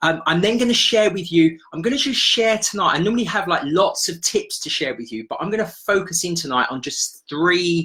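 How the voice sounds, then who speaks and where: A man with a high, bright, sharp voice projects loudly, swinging very widely in pitch and hardly pausing. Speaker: serviced accommodation business coach. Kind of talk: live webinar workshop. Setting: Facebook live stream. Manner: fast.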